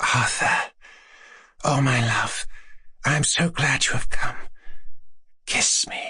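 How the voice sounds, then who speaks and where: Using a put-on character voice, a man speaks soft-spoken and raspy at a fairly high pitch and fairly slow pace, with long, frequent pauses. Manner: languid, dreamy, seductive.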